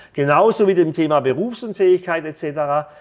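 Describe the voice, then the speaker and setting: A man with a high pitch, ordinary pitch variation and an animated tone, against a quiet background. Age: 50s. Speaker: financial advisor and entrepreneur. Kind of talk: podcast monologue.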